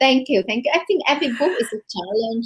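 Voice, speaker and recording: A woman talks with lively intonation. She has a Vietnamese accent. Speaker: novelist. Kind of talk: interview. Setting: podcast interview. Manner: halting, many fillers.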